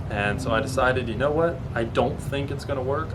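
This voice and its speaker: A man speaks amid noticeable background noise and audible room echo. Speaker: automotive YouTuber. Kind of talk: vlog explanation. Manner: fast; halting with self-corrections.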